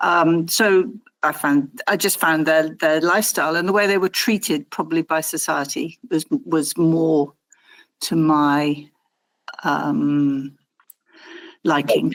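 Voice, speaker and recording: At a very slow pace with long, frequent pauses, a woman speaks with a very deep, low pitch, ordinary pitch variation and very even loudness on a very clean recording with a silent background. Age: 60s. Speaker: interviewee sharing life story. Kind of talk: interview. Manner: halting.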